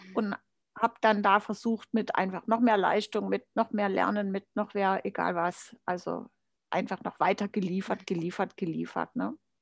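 Vocal fry runs through fairly even intonation at a moderate pace, in a dry, close sound with no echo on a very clean recording with a silent background. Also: woman, medium pitch for a woman. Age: 50s. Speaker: life coach. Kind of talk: interview. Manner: hesitant, many fillers.

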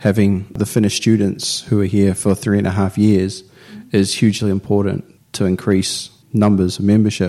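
This voice has a New Zealand accent and a dark, mellow tone. It moves at a fairly quick pace with monotone, flat intonation. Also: man, fairly low pitch for a man. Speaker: business student. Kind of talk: interview.

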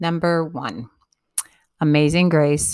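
A woman speaks in a very deep, low pitch with an upbeat, playful tone. The recording is very clean, with a silent background. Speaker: blogger reading own blog entry. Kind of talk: reading aloud a mock-serious written eulogy and funeral wishes, tongue-in-cheek. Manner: wry, playful and cheeky, with laughter, emphatic list-like delivery; candid and upbeat, breezy asides addressing the listener directly.

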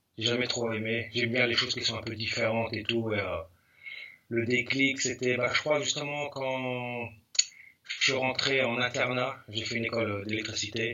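Monotone, flat intonation from a man at medium pitch, at a moderate pace. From Paris region, Val d'Oise. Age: 40s. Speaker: graffiti artist. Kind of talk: casual interview.

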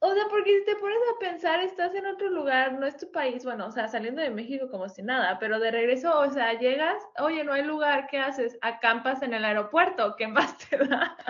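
With a Mexican accent, a woman speaks at a moderate pace and high pitch, using very wide pitch swings and hardly any pauses. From Mexico. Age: 20s. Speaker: podcast co-host. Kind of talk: casual chat.

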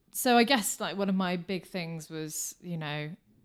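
A woman is speaking. She has a British accent. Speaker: marketing business founder. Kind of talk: interview.

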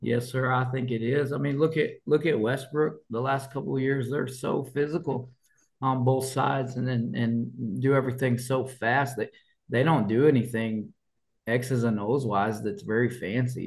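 The speaker has an American accent and a somewhat breathy voice. The pace is moderate, with fairly even intonation. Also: man, medium pitch for a man. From Colorado. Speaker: high school football coach. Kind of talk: interview.

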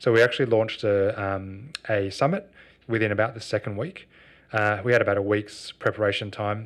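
Against a quiet background, a man with an Australian accent talks at a fairly quick pace in a fairly low voice with fairly even intonation. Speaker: social enterprise co-founder. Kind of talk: interview.

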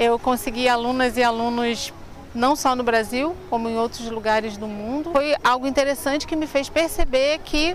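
A woman's high-pitched voice at a moderate pace amid noticeable background noise. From Rio de Janeiro, Brazil (Madureira). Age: 50s. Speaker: tour guide. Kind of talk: interview.

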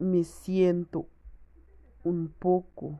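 A woman's fairly low voice with a dark, mellow tone, at a very slow pace. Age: 20s. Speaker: language student, mother. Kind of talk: learner's spoken exercise on daily routine. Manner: careful learner's pace.

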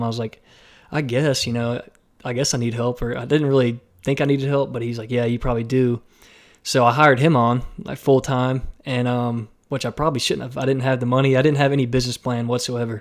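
On a very clean recording with a silent background, a man with an American accent talks at a very fast pace in a monotone, flat delivery at a medium pitch. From Alabama, US South. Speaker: filmmaker and drone pilot. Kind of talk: casual interview chat.

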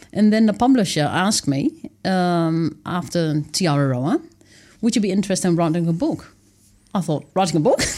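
A woman with a Dutch accent talks at a moderate pace in a fairly low pitch with a dark, mellow tone. The recording is very clean, with a silent background. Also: lively intonation. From Netherlands. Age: 30s. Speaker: author and wilderness dweller. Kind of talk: casual interview. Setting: studio.

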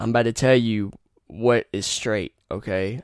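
In an eastern North Carolina accent, a man speaks in an animated tone, recorded very cleanly with a silent background and a dry, close sound with no echo. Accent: US Southern (eastern North Carolina). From North Carolina (Rocky Mount). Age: 20s. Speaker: podcast host. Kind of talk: casual monologue.

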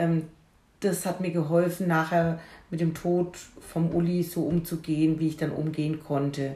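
A woman speaks at a very slow pace in a fairly low pitch, somewhat breathy. Her intonation is monotone and flat. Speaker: podcast host and grief companion. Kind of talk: casual conversation. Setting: at home in the kitchen.

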